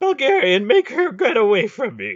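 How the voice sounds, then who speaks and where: Using a put-on character voice, a man speaks at a moderate pace with an extremely high pitch and very wide pitch swings. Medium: read story. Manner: harsh, tense.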